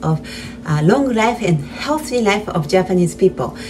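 A woman talks while faint music sits in the background. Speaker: channel host. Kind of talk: casual cooking tutorial. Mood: friendly, smiling. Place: kitchen. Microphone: phone near.

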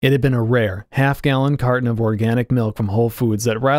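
Someone is reading aloud in a natural voice, keeping the intonation fairly even.

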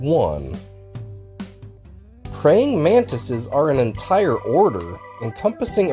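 Music plays in the background. The speech moves at a very slow pace. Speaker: educational channel host. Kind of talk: animal fact narration.

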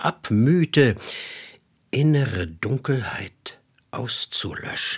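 A man's somewhat breathy, solemn and dramatic voice at a medium pitch, on a very clean recording with a silent background. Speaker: voice actor narrator. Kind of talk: mythic fairy-tale narration, solemn biblical-style storytelling. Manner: slow, solemn, dramatic, grave and hypnotic.

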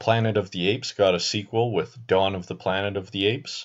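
Over a quiet background, an unremarkable speaking voice moves at a moderate pace with fairly even intonation. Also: man. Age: 20s. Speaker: YouTube film commentator. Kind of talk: scripted narration.

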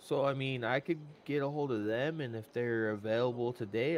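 A plain, everyday voice from a man, medium in pitch, at a fairly slow pace. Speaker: roleplay player acting as city official. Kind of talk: in-game roleplay dialogue.

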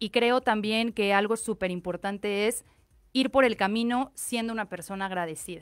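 In a quiet background, a woman with an unremarkable speaking voice talks at a moderate pace, her fairly high pitch held in a fairly even intonation. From Mexico. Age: 30s. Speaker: fashion designer; guest. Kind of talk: interview. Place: studio. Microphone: studio mic.

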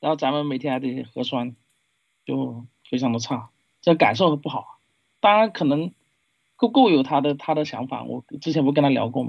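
Pausing long and often, a man talks at a moderate pace with a fairly high pitch and ordinary pitch variation. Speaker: livestream call-in guest. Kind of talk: casual chat. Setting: online voice call. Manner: halting.

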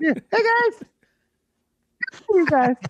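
This put-on character voice is squeaky and extremely high, with very wide pitch swings. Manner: nervous.

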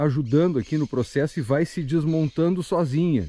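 The tone is dark and mellow, with ordinary pitch variation. Speech runs at a fairly quick pace, and the sound is dry with no echo. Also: man. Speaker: bushcraft vlogger. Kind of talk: casual vlog chat. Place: forest. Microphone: phone near.

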